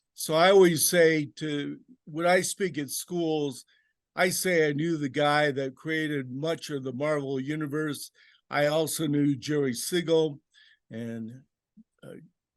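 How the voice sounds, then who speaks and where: A normal speaking voice, fairly slow and fairly even in intonation, with big swings in loudness over a quiet background. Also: man, fairly high pitch for a man. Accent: American. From Los Angeles. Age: 60s. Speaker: comic artist and self-publisher. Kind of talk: interview.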